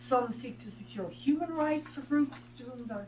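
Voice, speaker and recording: A woman speaks with an Irish accent. Her pace is fairly quick. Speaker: professor. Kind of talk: reading aloud. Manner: fast.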